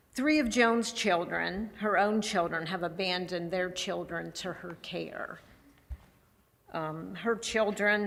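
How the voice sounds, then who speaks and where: A woman with a medium pitch speaks at a fairly slow pace. Her intonation stays fairly even. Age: 60s. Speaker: charity president. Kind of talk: church service talk. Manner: halting.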